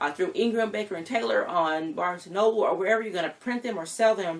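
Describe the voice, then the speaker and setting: Talking at a very fast pace, a woman uses a fairly high pitch with ordinary variation. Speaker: writing and publishing coach. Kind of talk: tutorial. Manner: hesitant, many fillers.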